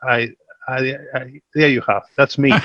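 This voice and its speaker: A man speaks at a moderate pace in an Argentine accent. His tone is bright and sharp, and the sound is dry and close with no echo. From Argentina. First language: Spanish. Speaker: investment executive. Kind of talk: panel discussion.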